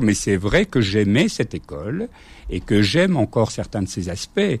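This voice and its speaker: This is a man speaking. His pitch is fairly low. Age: 60s. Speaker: former teacher and school inspector. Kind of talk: radio interview.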